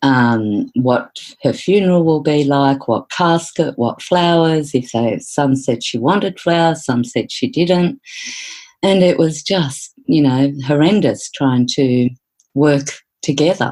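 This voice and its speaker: A woman speaks with an Australian accent at a very deep, low pitch. Her intonation is lively, and her pace is very slow. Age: 60s. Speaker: psychotherapist. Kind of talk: interview.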